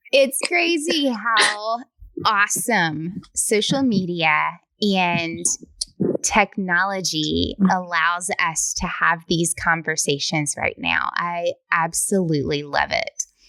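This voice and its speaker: At a very slow pace, a woman with a Southern US accent speaks at medium pitch with lively intonation and a bright, sharp tone, on a very clean recording with a silent background. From US South. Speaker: podcast host. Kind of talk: interview.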